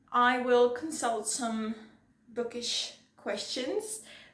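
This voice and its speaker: Amid audible room echo, a woman talks very slowly at a fairly high pitch. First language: not English. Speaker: booktuber. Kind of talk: casual vlog monologue. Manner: halting.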